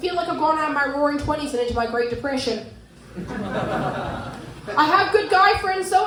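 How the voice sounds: With audible room echo, a woman speaks fairly quickly in a high, fairly bright voice whose pitch varies in an ordinary way.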